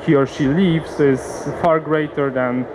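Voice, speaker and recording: A man's fairly high-pitched, monotone, flat speech in a Polish accent at a very slow pace, amid noticeable background noise. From Poland, Warsaw. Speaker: company CEO, conference speaker. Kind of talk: conference presentation. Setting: conference seminar with audience. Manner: halting, many fillers.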